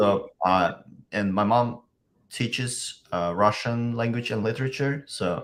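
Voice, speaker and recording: A man with an Uzbek accent, fairly slow pace and ordinary pitch variation. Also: medium pitch for a man. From Uzbekistan. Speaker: software engineer. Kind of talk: interview. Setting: video call. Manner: halting.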